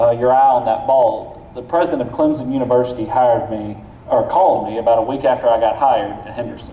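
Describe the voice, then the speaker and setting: A medium-pitched man races along at a very fast pace with ordinary pitch variation, amid audible room echo and noticeable background noise. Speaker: university president. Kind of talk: speech at awards luncheon. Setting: luncheon audience.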